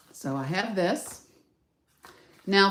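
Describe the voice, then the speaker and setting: With audible room echo, a woman speaks at a fairly low pitch with ordinary pitch variation. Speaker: craft demonstrator. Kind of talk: tutorial. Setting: live stream. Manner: loud; casual, chatty.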